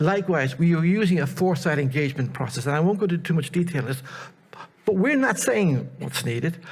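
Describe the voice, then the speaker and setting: Room echo is audible as a man talks very fast. His fairly high voice shows ordinary pitch variation. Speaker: project presenter, researcher. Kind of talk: conference presentation. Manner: animated.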